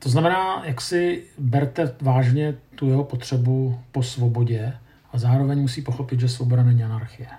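Dark, mellow tone from a somewhat breathy man at medium pitch, with fairly even intonation, moderate pace, and audible room echo. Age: 50s. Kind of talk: lecture.

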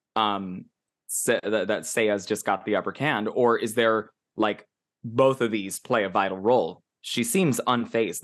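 A man speaks at a fairly slow pace in an ordinary speaking voice. His pitch is medium, with ordinary variation, over a quiet background. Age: 40s. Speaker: anime podcast co-host. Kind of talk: casual chat.

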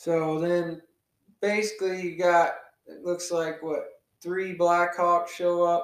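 Heard with audible room echo, a man with a high pitch for a man speaks in a flat monotone at a very slow pace, leaving long, frequent pauses as his loudness swings widely. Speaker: podcast host. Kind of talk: casual chat. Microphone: new audio equipment, poor sound quality.

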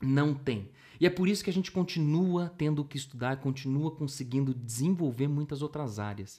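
Somewhat breathy and dark, mellow in tone, a man's fairly high voice moves at a moderate pace with ordinary pitch variation in a very clean recording with a silent background. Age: 30s. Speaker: musician and teacher. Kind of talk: interview.

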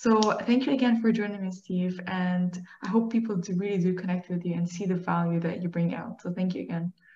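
A woman's medium-pitched voice at a fairly quick pace, fairly even in intonation, with noticeable background noise. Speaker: podcast host. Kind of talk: interview conversation.

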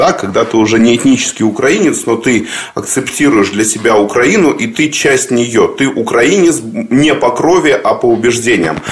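The speaker talks at a moderate pace with lively intonation, and there is noticeable background noise. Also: man. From Crimea, Simferopol. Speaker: interviewer. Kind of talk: interview.

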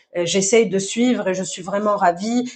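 A woman speaks at a medium pitch with fairly even intonation. She has a slight Tunisian accent. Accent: slight Tunisian accent kept in French. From southern Tunisia, Zarzis. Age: young. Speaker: actress and dancer. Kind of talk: interview. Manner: halting, repeats words.

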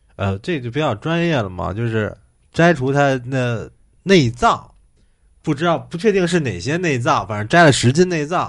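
Over a quiet background, a man speaks at a moderate pace in a fairly high pitch that swings very widely. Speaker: podcast host. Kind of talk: casual chat.

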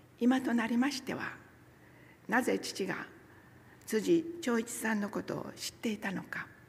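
Over noticeable background noise, a woman speaks at a fairly slow pace. Her fairly high voice shows ordinary pitch variation. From Nagasaki, Kyushu, Japan. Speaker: church member giving a talk, former nurse. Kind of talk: sermon with personal testimony. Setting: church service, also streamed online. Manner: formal, polite.

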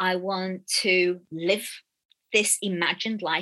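Against a quiet background, a woman with a Birmingham accent speaks in a bright, sharp tone. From Birmingham, England. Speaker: storyteller and consultant. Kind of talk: interview. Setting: video call.

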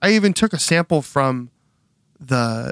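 The speaker uses lively intonation with an American accent. The sound is dry and close, with no echo. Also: man. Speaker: podcast host and record label owner. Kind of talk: casual interview chat. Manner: fast talker.

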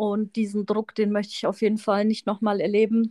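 The sound is dry and close, with no echo. A woman talks at a fairly quick pace and a medium pitch. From Munich, Bavaria. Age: 30s. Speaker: tax professional, podcast co-host. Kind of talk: casual chat.

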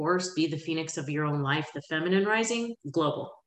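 A woman speaks with ordinary pitch variation. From Florida, Pensacola. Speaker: life coach. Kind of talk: interview. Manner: loud.

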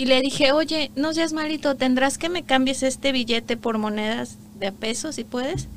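Her pitch high, a woman talks at a moderate pace with ordinary pitch variation. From Mexico, Guerrero and Morelos. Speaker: immigrant entrepreneur, former lawyer. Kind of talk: interview. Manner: animated.

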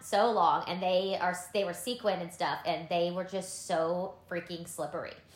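A woman talks at a moderate pace with hardly any pauses, her pitch medium and her intonation fairly even. The room echo is audible, and background noise is noticeable. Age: 30s. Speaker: podcast co-host. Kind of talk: casual chat.

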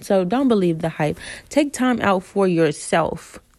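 The recording is very clean with a silent background. A woman with an ordinary speaking voice talks at a moderate pace, her pitch varying in an ordinary way. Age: 20s. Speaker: podcast host. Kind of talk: casual monologue.

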